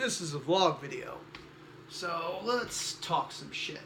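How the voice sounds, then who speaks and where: Speaking at a very slow pace, a man uses a high pitch with ordinary pitch variation. Noticeable background noise and audible room echo fill the recording. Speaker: cosplayer vlogger. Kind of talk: casual vlog. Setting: guest room at home. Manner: soft-spoken.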